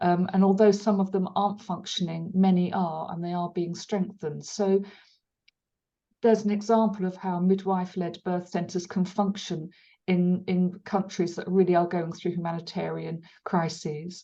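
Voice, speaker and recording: Against a quiet background, a woman with a medium-pitched, dark, mellow, somewhat breathy voice speaks at a moderate pace in a flat monotone. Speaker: webinar moderator. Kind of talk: webinar Q&A moderation. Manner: hesitant, many fillers.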